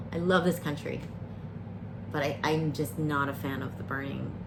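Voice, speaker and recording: A woman talks at a moderate pace, with noticeable background noise and audible room echo around her voice. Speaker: variety streamer. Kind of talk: casual chat. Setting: live stream. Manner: rambling, hesitant with fillers.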